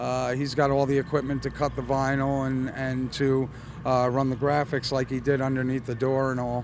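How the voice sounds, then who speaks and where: Flat, monotone man's voice at medium pitch and moderate pace, with noticeable background noise. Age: 60s. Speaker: car customizer at a car show. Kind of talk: casual interview. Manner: hesitant, many fillers.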